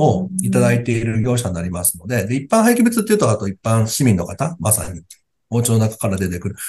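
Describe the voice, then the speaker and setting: A man's dark, mellow, somewhat breathy voice at a medium pitch and a very fast pace, with lively intonation and big swings in loudness. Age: 40s. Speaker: waste disposal company head. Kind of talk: casual interview.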